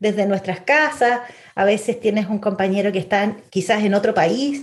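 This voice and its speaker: A woman speaks in a plain, everyday voice at a fairly high pitch. Her pace is fairly slow, with ordinary pitch variation. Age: 40s. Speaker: UX designer. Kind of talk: interview. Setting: remote call.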